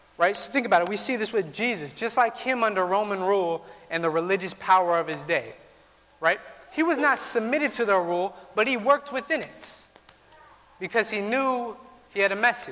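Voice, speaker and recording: In a raised, projected voice, a high-pitched man speaks at a fairly quick pace with lively intonation. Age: 20s. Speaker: pastor. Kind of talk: sermon.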